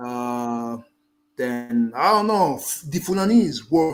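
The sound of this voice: Here a man speaks with lively intonation. His pitch is fairly high.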